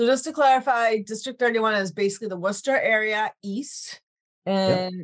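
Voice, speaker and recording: A woman speaks in an ordinary speaking voice at a fairly high pitch. Her pace is moderate and her pitch variation ordinary. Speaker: podcast host. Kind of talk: interview.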